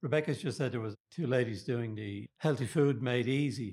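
In a very clean recording with a silent background and a dry, close sound with no echo, a man speaks at a moderate pace with a medium pitch and ordinary pitch variation. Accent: Dublin. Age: 70s. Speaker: men's shed member. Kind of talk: interview.

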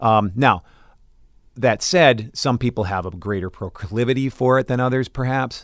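With an American accent, a normal speaking voice moves at a moderate pace with fairly even intonation on a very clean recording with a silent background. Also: man. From Minnesota, US Upper Midwest. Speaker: theater teacher. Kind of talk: interview. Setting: studio.

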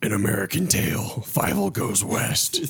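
Doing a put-on character voice, a man speaks in a raspy, fairly low tone at a moderate pace with lively intonation. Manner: menacing, dark.

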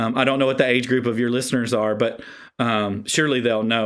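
A man with a Southern US accent, medium in pitch. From South Carolina. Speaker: author and educator. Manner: animated.

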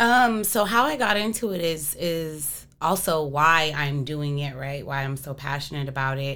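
A woman with an American accent and a very deep, low pitch speaks at a fairly slow pace with hardly any pauses. Her tone is bright and sharp, her intonation lively, and there is audible room echo. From Arizona. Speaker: hip hop and R&B artist. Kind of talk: casual interview chat.

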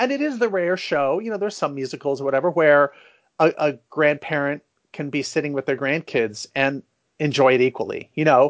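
A man with an American accent, a plain, everyday voice and fairly high pitch, at a fairly quick pace with ordinary pitch variation. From San Francisco, US West Coast. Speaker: a cappella producer and arranger. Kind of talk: interview.

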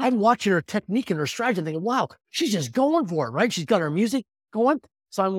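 In a very clean recording with a silent background and a dry, close sound with no echo, a high-pitched man with a Canadian accent talks very fast with very wide pitch swings. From Saskatchewan, Canada. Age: 50s. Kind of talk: interview.

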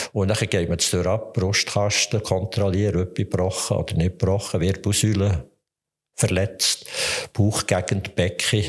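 A man with a Swiss German accent speaks fairly slowly in a fairly low, somewhat breathy voice, with monotone, flat intonation and very even loudness. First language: Swiss German (speaking German). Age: 70s. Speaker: physician, forensic medical examiner. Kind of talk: interview.

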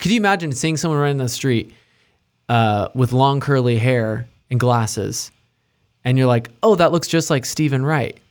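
Over a silent background in a very clean recording, a man at medium pitch talks at a moderate pace in a normal speaking voice, with ordinary pitch variation and very even loudness. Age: 20s. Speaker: church musician. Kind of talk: casual chat.

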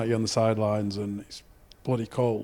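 A man with a Lancashire accent at a fairly quick pace, on a very clean recording with a silent background. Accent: Lancashire (Oldham). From northern England, Oldham. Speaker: podcast co-host, former rugby league player. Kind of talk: casual interview chat.

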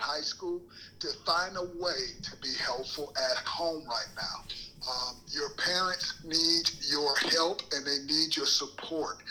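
Noticeable background noise runs under the recording. A man talks at a fairly slow pace. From Michigan (Saginaw). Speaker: motivational speaker. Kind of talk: podcast interview.

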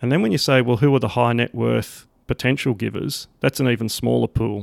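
A moderate pace in an Australian accent, dry and close with no echo. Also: man. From Sydney, Australia. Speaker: ministry operations director. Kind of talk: interview conversation.

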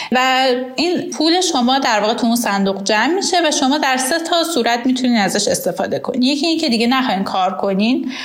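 Speech races at a very fast pace with hardly any pauses, very even loudness and lively intonation, amid audible room echo and noticeable background noise. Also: woman, high pitch for a woman. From Iran. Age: 20s. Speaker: accountant and immigrant. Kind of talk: personal testimony and advice monologue.

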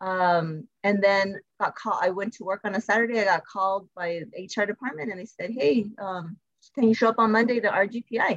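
A woman with an American accent speaks in a plain, everyday voice at a medium pitch and moderate pace. Her pitch varies in an ordinary way, while her loudness swings widely. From US Southwest, El Paso, Texas. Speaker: school principal. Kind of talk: interview.

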